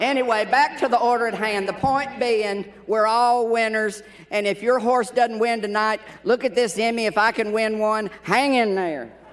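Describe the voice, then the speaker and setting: Fairly even intonation in a Tennessee accent, at a moderate pace. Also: man, high pitch for a man. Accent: Tennessee accent mistaken for Irish. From Tennessee hills, US South. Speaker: award presenter, TV personality, former exercise rider. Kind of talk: award presentation; humorous award speech.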